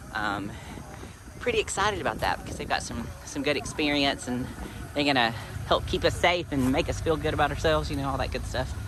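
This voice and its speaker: A man with lively intonation, noticeable background noise and audible room echo. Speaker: Jeep off-road vlogger. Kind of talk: casual vlog narration.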